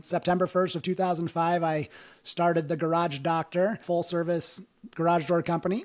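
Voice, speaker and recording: Very clean and set against a silent background, the recording has a man with an American accent and a high pitch talking at a fairly quick pace. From Wyoming, US. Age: 40s. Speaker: entrepreneur, garage door business owner. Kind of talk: podcast interview.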